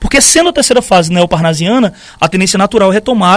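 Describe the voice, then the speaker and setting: A man talks at a fairly quick pace. His pitch is high for a man. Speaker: literature teacher. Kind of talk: live-streamed lecture.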